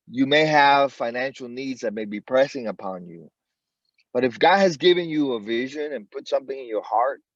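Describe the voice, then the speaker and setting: An unremarkable speaking voice, this man's has a medium pitch, lively intonation and big swings in loudness, in an American accent against a quiet background. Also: moderate pace. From Florida, Miami area. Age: 60s. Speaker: job seeker sharing career story. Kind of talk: motivational talk.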